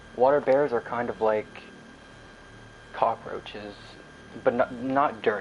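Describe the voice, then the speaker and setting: A man speaks at a fairly slow pace in a flat monotone. Background noise is noticeable. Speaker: gaming livestreamer. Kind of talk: casual live stream chat. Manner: slightly slurring and stuttering; casual, rambling pace.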